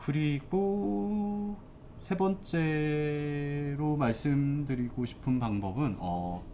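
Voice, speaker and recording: Speaking at a very slow pace, a man with a fairly high pitch and a dark, mellow tone makes very wide pitch swings, with audible room echo around him. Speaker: fashion brand consultant, YouTuber. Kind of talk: tutorial. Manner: casual, hesitant with fillers.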